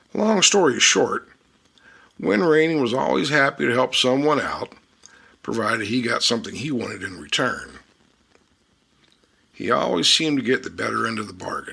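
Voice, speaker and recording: Using a put-on character voice, a raspy man speaks at a medium pitch and a moderate pace, with long, frequent pauses. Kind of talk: tall-tale storytelling. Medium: read story. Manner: dry, wry, unhurried.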